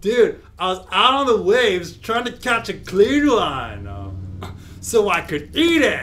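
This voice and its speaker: Over clear background noise, a man uses a high, cartoonish character voice at a fairly slow pace. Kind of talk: comic puppet show. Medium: comedy sketch. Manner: laid-back, enthusiastic, goofy.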